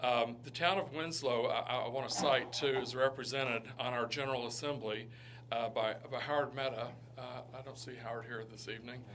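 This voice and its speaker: A man's medium-pitched voice at a fairly quick pace with fairly even intonation, amid audible room echo and noticeable background noise. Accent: Southern US. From Kentucky (Lexington). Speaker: economic development director. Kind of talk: presentation to town council. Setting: town council meeting. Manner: halting, many fillers.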